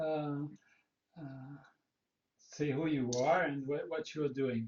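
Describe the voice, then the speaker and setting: A man's voice with ordinary pitch variation. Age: 70s. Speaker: psychoanalyst and engineer, host. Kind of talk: conversation interview. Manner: halting, many fillers.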